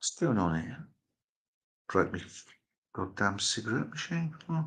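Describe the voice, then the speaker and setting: Speaking fairly slowly, a man with a medium-pitched voice and vocal fry swings his pitch very widely. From Poland. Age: 60s. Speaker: live-stream host. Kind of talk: casual live-stream chat. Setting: live stream, at home. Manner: casual, rambling with fillers.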